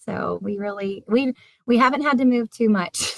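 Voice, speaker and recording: With a slight Southern US accent, a woman speaks at a fairly high pitch in a dry, close recording that has no echo. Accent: slight Southern American. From US South, South Carolina. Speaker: teacher and poem author. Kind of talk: interview. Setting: video call from her classroom.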